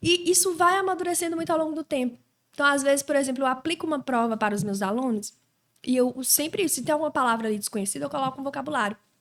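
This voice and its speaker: Very fast and high-pitched, a woman talks with lively intonation. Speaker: Portuguese teacher. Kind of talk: casual chat. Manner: clear diction.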